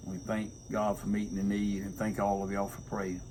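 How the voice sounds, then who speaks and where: A man speaks with a Southern US accent, and there is audible echo from the room. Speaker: pastor and homesteader. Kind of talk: casual chat. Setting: outdoors on front porch.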